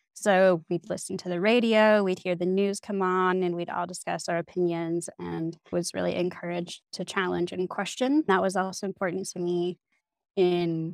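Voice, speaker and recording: A woman speaks in a plain, everyday voice at medium pitch and a moderate pace, with hardly any pauses, recorded dry and close with no echo against a quiet background. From Canada, northeastern British Columbia. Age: 20s. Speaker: people development manager. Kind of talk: interview.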